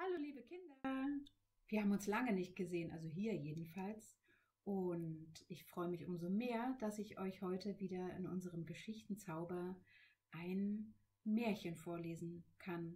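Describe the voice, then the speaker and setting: A woman speaks at a fairly slow pace in a dark, mellow tone that is somewhat breathy, her pitch varying in an ordinary way. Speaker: children's librarian. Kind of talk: friendly greeting to children. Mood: warm, cheerful.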